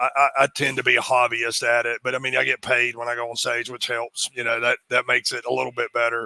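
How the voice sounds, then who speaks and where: In a strong Appalachian accent, a man with a medium pitch races at a very fast pace with hardly any pauses and monotone, flat intonation, the sound dry and close with no echo. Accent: thick Appalachian. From US Appalachia, North Carolina. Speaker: executive recruiter and part-time comedian. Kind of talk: interview. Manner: halting, many repetitions.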